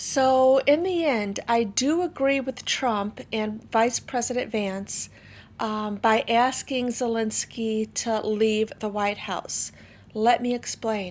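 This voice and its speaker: On a very clean recording with a silent background, a woman talks very slowly in a fairly high pitch. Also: ordinary pitch variation. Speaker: political commentary vlogger. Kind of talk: casual commentary.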